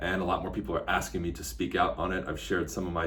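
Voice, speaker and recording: In a room with audible echo, a man talks very fast in a very deep, low voice with ordinary pitch variation. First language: Spanish. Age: 30s. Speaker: real estate agent and online commentator. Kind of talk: casual political commentary vlog. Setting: office. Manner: blunt, casual, with frequent fillers.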